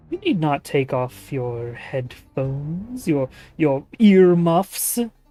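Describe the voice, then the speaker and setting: Someone uses a put-on character voice at a middle pitch, speaking at a very slow pace. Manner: eerie, echoing as if from everywhere.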